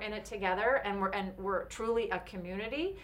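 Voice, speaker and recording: This woman has a Californian accent. She talks at a moderate speed. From Orange County, California. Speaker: speaker and employee development coach. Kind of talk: interview.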